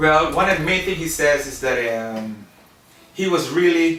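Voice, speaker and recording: Music plays in the background as a man talks at a fairly slow pace, his pitch fairly high with ordinary pitch variation. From Belize. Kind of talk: interview answer.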